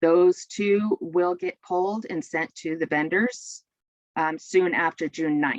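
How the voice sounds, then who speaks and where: A woman with a fairly low pitch speaks at a very slow pace with ordinary pitch variation. The sound is dry and close, with no echo. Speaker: state education assessment staff presenter. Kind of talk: webinar presentation.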